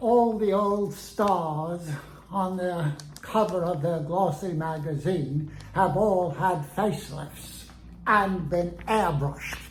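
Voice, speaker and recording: Using a put-on character voice, a man speaks at a very slow pace in a high pitch over clear background noise. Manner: pompous, indignant.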